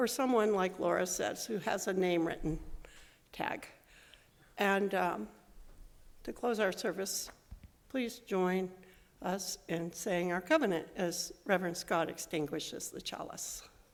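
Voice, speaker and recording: Heard with audible room echo, a woman speaks at a fairly slow pace with long, frequent pauses, her medium pitch moving with ordinary variation. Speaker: lay worship leader. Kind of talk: church service announcements. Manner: loud.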